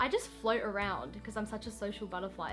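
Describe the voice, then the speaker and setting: A woman speaks with an Australian accent. Music plays in the background. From Western Australia. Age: young. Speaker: vlogger. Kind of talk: casual talk to camera.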